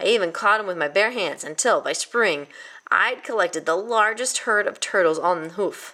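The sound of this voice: An unforced reading voice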